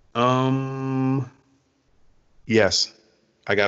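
A man speaks with an American accent in a fairly low pitch. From US South, Georgia. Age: 20s. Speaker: podcast co-host. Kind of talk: casual chat. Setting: call.

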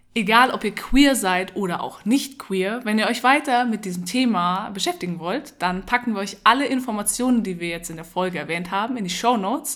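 A woman talks at a moderate pace with a fairly high pitch. It is a plain, everyday voice. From Munich, Germany. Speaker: podcast co-host. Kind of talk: casual chat. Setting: at home in a flat.

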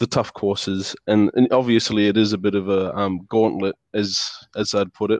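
A man with a New Zealand accent and a fairly low pitch talks at a moderate pace, the sound dry and close with no echo. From New Zealand, Lower Hutt, Wellington. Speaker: university student. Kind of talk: casual interview. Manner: halting, many fillers.

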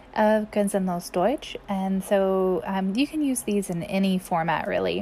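A somewhat breathy woman's voice at medium pitch, delivered at a very slow pace. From US South, Mississippi. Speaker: German language teacher. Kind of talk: language tutorial. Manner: halting, with frequent fillers.

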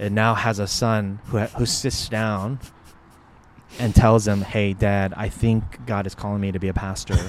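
A man with an American accent and a fairly low voice speaks at a fairly slow pace in a monotone, flat delivery. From US Northeast, greater Philadelphia suburbs. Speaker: associate pastor. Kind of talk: casual interview chat. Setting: recorded at a conference venue.

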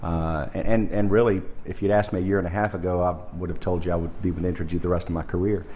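With audible room echo, a man with an American accent talks very fast at a very deep, low pitch and fairly even intonation. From US South, Arkansas. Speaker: nuclear industry executive. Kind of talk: interview.

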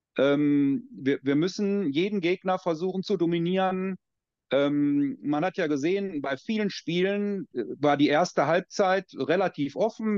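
A man's high-pitched voice with ordinary pitch variation, dry and close with no echo, against a quiet background. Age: 50s. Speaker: American football coach. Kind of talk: casual chat.

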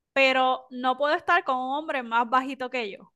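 A woman projects her voice, raised and high in pitch. Her tone is bright and sharp. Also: quiet background. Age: young. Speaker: podcast co-host. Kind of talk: casual discussion.

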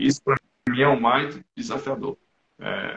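His pitch rises and falls across a very wide range. The man keeps to a moderate speed. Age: 50s. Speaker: amateur triathlete and low-carb enthusiast. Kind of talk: casual interview. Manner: halting, many repeated words.

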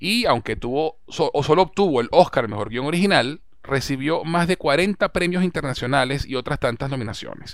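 An ordinary speaking voice moves at a moderate pace with lively intonation and hardly any pauses, captured in a very clean recording with a silent background. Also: man, fairly high pitch for a man. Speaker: podcast host. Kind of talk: casual chat.

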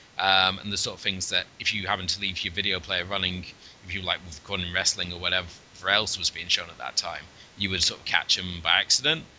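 Over noticeable background noise, a man with a very deep, low pitch rattles along at a very fast pace in a monotone, flat intonation. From England, Cornwall. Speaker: film podcast host. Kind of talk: casual chat.

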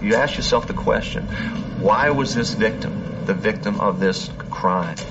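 Speaking fairly slowly, a man is heard over noticeable background noise. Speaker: FBI profiler or lab official. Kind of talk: interview recounting. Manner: hesitant, repeats words.

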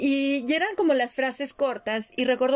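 A woman with a Mexican accent and ordinary pitch variation. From Mexico. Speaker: podcast host and former radio announcer. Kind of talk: casual chat.

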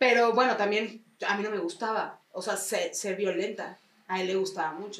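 A woman with a Mexican accent talks at a medium pitch with fairly even intonation. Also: moderate pace. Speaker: psychoanalyst, podcast co-host. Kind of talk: casual chat.

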